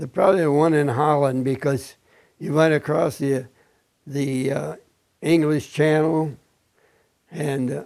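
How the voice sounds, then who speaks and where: Fairly high-pitched man with a Midwestern American accent, fairly slow pace, fairly even intonation and long, frequent pauses. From Indiana. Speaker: war veteran. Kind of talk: oral history interview. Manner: halting.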